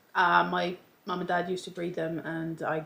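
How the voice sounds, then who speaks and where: A woman speaks at a moderate pace in a fairly low voice with vocal fry. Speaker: lifestyle youtuber. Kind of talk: casual chat. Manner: stuttering; hesitant, many fillers.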